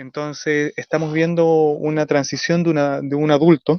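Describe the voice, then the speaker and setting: The pace runs fairly slow. Delivery stays monotone and flat throughout. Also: man. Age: young. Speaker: radio panelist. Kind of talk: radio discussion. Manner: halting, many fillers and self-corrections.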